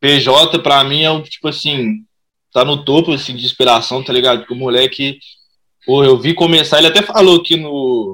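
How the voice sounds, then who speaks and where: A man's fairly high voice with a bright, sharp tone, at a moderate pace and with ordinary pitch variation. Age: 20s. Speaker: rap and funk artist. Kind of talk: casual interview.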